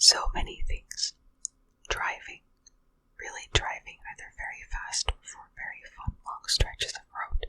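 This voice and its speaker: A whispering woman at a fairly slow pace, with big swings in loudness. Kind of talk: ASMR whispered reading of Reddit answers. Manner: whispered, soft.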